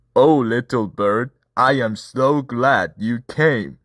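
Using a put-on character voice at a medium pitch, a man speaks at a very slow pace on a very clean recording with a silent background. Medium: read story.

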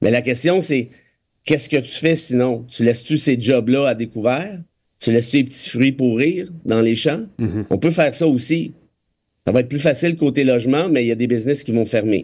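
A man at a moderate pace with ordinary pitch variation, against a quiet background. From Quebec. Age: 40s. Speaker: lawyer and political commentator; lawyer, political commentator. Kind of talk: casual radio chat. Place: studio.

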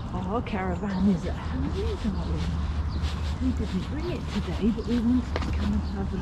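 Loud background noise fills the recording. A man talks at a moderate pace. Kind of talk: casual talk to a small child. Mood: gentle, soothing. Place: open country.

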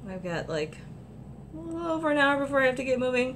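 A woman with an American accent speaks at a fairly quick pace in an animated tone, her pitch swinging very widely over noticeable background noise. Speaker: vlogger at a gaming convention. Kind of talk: casual vlog. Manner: animated, chatty.

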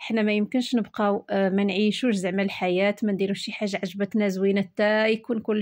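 A woman speaks with a Moroccan accent at a moderate pace. The background is quiet. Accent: Moroccan Darija. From Morocco. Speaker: home lifestyle vlogger. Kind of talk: casual vlog narration.

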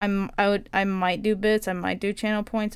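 The speaker is a woman. Her intonation is fairly even. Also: quiet background. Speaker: video game streamer. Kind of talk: casual live-stream chat while crafting. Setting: home streaming setup with a finicky mic. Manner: often speaks quietly; frustrated, swears a lot. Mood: frustrated, swearing at times. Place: home room. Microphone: headset.

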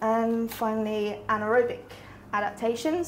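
Light background noise sits behind a voice with fairly even intonation. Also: woman. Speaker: presenter. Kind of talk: lecture. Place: classroom. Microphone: camera far.

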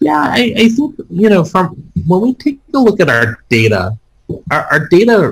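A man's pitch swings very widely as he talks. Music is in the background, and his pace is moderate. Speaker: panelist. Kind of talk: interview answer.

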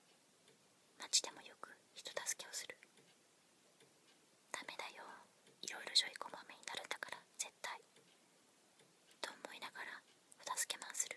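Whispering and soft-spoken, the voice moves at a very slow pace. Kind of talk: reading a personality description aloud. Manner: soft whispered book reading. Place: home room. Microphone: phone near.

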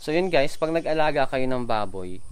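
A man's voice with ordinary pitch variation at a moderate pace. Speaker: pig farmer vlogger. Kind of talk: casual vlog chat. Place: farm. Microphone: phone near.

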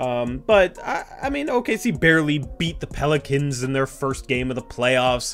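A man is speaking. Faint music plays behind him. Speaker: sports fan channel host. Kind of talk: commentary. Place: home room.

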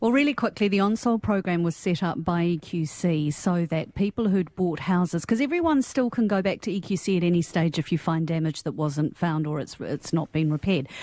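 With lively intonation and a New Zealand accent, a woman in a fairly low pitch speaks at a moderate pace with hardly any pauses. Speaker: panelist. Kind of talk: radio panel discussion. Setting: radio studio.

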